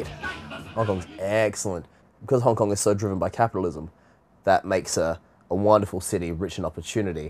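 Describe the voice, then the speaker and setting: On a very clean recording with a silent background, a man with an Australian accent talks very fast at a fairly low pitch. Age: 20s. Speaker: voice actor. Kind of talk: interview answer.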